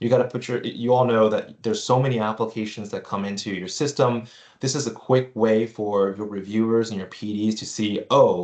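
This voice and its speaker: A man of medium pitch at a fairly quick pace with hardly any pauses and fairly even intonation, against a quiet background. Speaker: software product presenter. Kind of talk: webinar presentation. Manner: fast.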